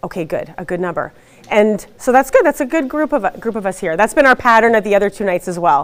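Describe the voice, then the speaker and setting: At a very fast pace, a woman speaks with a fairly high pitch and very wide pitch swings. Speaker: school district administrator. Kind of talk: information presentation.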